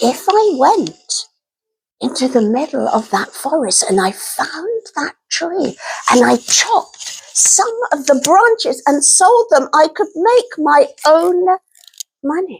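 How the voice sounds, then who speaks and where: A female-sounding, put-on character voice pitched extremely high, with very wide pitch swings. It moves at a fairly slow pace. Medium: read story.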